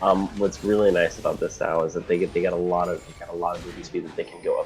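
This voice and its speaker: A man is speaking. Music plays in the background. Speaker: co-caster. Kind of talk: live game commentary. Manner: casual, hesitant.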